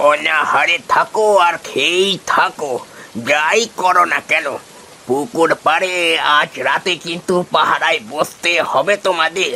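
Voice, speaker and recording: In a cartoonish character voice pitched high for a man, a man drawls at a very slow pace with very even loudness over clear background noise. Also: ordinary pitch variation. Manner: plainspoken, fatherly.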